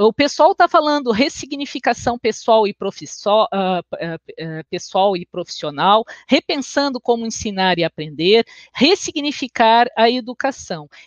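A woman speaks at a fairly high pitch, her voice making very wide pitch swings. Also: fairly slow pace. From Brazil, Porto Alegre (Rio Grande do Sul). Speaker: education researcher and lecturer. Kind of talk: online lecture. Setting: livestream. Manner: hesitant, many filler sounds.

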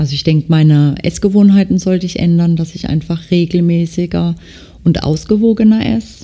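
With a dark, mellow tone, a woman with a fairly low pitch speaks at a fairly quick pace in a somewhat breathy voice. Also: ordinary pitch variation. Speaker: nail technician and podcast host. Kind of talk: casual monologue. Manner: frequent filler hesitations.

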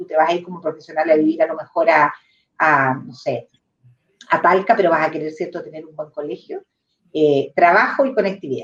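A woman's fairly low voice, fairly quick, with ordinary pitch variation and big shifts in loudness. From southern Chile, near Temuco. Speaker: real estate executive. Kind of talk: interview conversation. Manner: halting, many repetitions.

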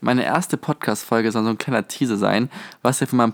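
The pitch varies in an ordinary way. The sound is dry and close with no echo. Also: man. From southwestern Germany, near Stuttgart. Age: 20s. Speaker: podcast host, university student. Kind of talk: casual podcast monologue. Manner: animated.

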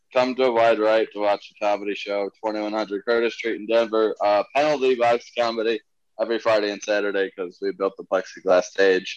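A man speaks at a moderate pace with a fairly low pitch and fairly even intonation. He has an unremarkable speaking voice, with a dry, close sound and no echo. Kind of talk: casual comedy podcast chat.

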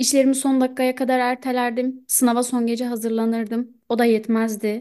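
Against a quiet background, a woman talks at a moderate pace with a high pitch and a dark, mellow tone. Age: 20s. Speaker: podcast co-host. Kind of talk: casual chat.

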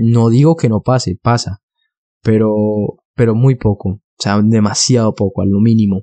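This man speaks at a medium pitch with a dark, mellow tone and fairly even intonation. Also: fairly slow pace, dry, close sound with no echo. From Colombia, Bogotá. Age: 20s. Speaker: podcaster. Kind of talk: solo podcast monologue.

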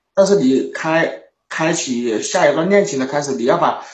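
Audible room echo and a moderate pace. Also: man. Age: 20s. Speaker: caller seeking relationship advice. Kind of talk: call-in conversation.

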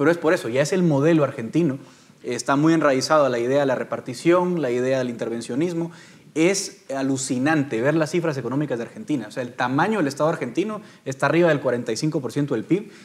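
This man has a normal speaking voice, fairly high in pitch, with ordinary pitch variation and a fairly quick pace. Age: 30s. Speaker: political analyst, panelist. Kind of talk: panel debate.

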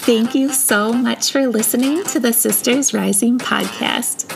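A woman's high voice with lively intonation at a fairly slow pace, over noticeable background noise. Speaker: podcast host and spiritual guide. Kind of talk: guided meditation. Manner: soft, slow, soothing, calm and peaceful.

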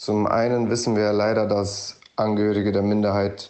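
Speaking at a fairly slow pace, a man with a fairly low pitch talks in a monotone, flat intonation. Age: 20s. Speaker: student and Roma rights activist. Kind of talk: interview statement.

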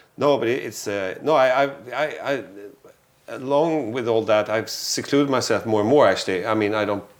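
The speaker is a man with a Swedish accent. His pitch is medium. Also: ordinary pitch variation, moderate pace. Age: 40s. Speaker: photographer. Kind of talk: casual chat.

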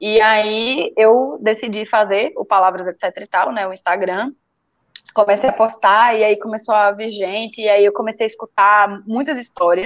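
A woman with an ordinary speaking voice and a fairly high pitch speaks at a fairly slow pace with fairly even intonation. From Brazil, Recife. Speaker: writer. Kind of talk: casual chat.

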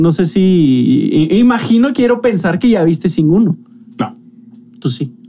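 A man with a Mexican accent speaks at a very slow pace and a high pitch, his voice making very wide pitch swings over noticeable background noise. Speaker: podcast host. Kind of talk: casual chat.

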